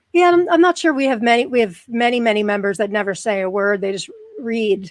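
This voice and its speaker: A woman with an American accent speaks at a fairly quick pace, her fairly high pitch swinging very widely. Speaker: podcast host with chronic pain. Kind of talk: casual interview chat.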